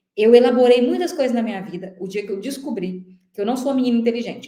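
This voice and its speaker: In a room with audible echo, a woman speaks in a high pitch with a dark, mellow tone and lively intonation. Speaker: teacher coaching for civil service exams. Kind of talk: online lecture. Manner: fast; animated.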